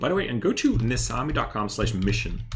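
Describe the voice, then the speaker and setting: A man is speaking. He talks with a slight Dutch accent. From Netherlands. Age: 30s. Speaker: stock investing youtuber. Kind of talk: livestream chat and research. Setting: live stream. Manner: hesitant, many fillers.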